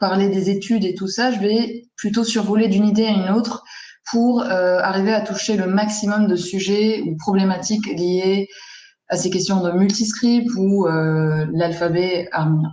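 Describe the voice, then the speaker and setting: Her medium-pitched voice moving at a fairly slow pace, a woman speaks with fairly even intonation. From Lebanon, Armenian diaspora. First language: Armenian (speaking French). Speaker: graphic designer. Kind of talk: presentation in a panel discussion. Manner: hesitant, many fillers.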